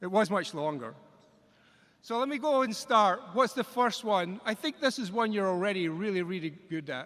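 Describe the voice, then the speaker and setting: A man with a Scottish accent speaks in a high pitch and a bright, sharp tone. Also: very clean recording, silent background. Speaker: engineering college dean. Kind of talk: commencement speech.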